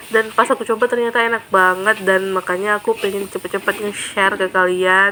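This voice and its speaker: Speaking at a fairly quick pace with hardly any pauses, a woman holds a medium pitch, a monotone, flat intonation and very even loudness. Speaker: cooking vlogger. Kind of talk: cooking vlog. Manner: casual, chatty.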